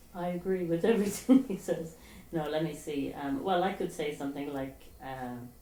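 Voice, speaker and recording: The intonation is lively and the pace moderate. Audible room echo surrounds the voice. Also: woman, fairly low pitch for a woman. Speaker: charity founder. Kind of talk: recorded appeal to camera. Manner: soft-spoken. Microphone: far from the mic.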